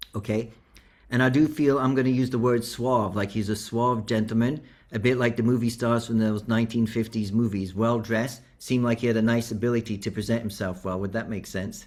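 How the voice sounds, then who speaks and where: This is a normal speaking voice at a fairly quick pace. The intonation stays fairly even. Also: man, medium pitch for a man. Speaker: spiritualist medium. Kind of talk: mediumship demonstration. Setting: video call.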